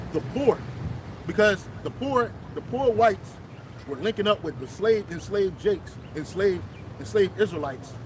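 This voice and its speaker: A man speaks loudly, his voice pitched high and his delivery lively at a moderate pace. Long pauses come often, over noticeable background noise. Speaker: religious street preacher. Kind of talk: casual religious discussion. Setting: outdoors, public place.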